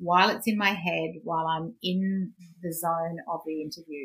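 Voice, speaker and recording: With an Australian accent, a woman talks at a moderate pace in a fairly low pitch with ordinary pitch variation. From Australia, Queensland. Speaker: business finance coach and podcast host. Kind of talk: interview.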